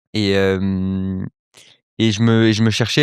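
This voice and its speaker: A man speaks at a fairly low pitch with fairly even intonation. The sound is dry and close with no echo, over a quiet background. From Paris, France (early childhood near Cannes/Nice). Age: 20s. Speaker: entrepreneur, accelerator founder. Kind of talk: podcast interview. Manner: hesitant, many fillers.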